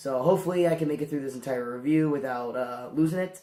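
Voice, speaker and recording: A man's voice with ordinary pitch variation. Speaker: movie reviewer. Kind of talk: video review monologue. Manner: hesitant with many fillers.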